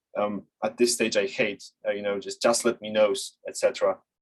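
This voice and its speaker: The recording is dry and close, without any echo. A male speaker talks in a non-native accent. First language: not English. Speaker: sales development lead and webinar instructor. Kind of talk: webinar presentation. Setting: online webinar. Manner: halting, many fillers.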